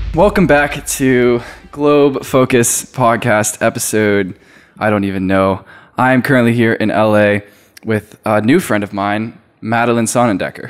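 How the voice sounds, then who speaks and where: With an American accent, the speaker uses a normal speaking voice at a fairly slow pace. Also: man, medium pitch for a man, ordinary pitch variation. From Virginia, US. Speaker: podcast host. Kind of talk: casual interview chat. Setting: in person, Los Angeles.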